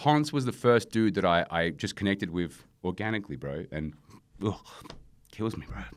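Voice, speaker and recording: A man speaks with an Australian accent and vocal fry. The recording is very clean, with a silent background. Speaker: rapper and producer. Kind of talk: casual interview.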